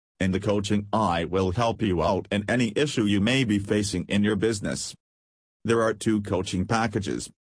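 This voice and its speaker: Pitch variation is ordinary. The voice sounds somewhat breathy. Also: man, quiet background. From Pakistan. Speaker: blogger and podcaster. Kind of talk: solo podcast intro and self-promotion.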